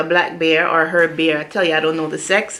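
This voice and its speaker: Noticeable background noise behind a voice with a Jamaican accent. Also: woman. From Jamaica, moved to US at ten. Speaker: YouTuber. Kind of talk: casual vlog Q&A. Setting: home, on a sofa.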